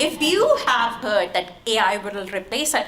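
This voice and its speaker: Someone with a non-native accent speaks amid noticeable background noise and audible room echo. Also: woman. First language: not English. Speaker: tech product leader, conference panelist. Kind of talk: conference panel talk. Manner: halting, many fillers.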